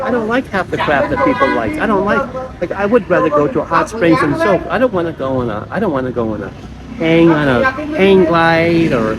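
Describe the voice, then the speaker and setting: Crowd noise fills the background as a man with an American accent talks at a fairly quick pace. His pitch is high and swings very widely. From United States. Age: 60s. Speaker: vlogger. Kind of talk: casual vlog monologue. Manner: halting, with repeated false starts.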